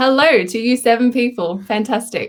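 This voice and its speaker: A woman speaks with an Australian accent in a fairly high voice. Her intonation stays fairly even. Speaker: artist. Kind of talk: live tutorial. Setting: live stream. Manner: casual, lots of fillers. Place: home room. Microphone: webcam.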